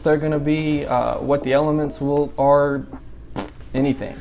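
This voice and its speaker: The speaker has a Southern US accent and a moderate pace. Noticeable background noise is present. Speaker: gaming YouTuber. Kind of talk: tutorial. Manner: casual, filler-heavy.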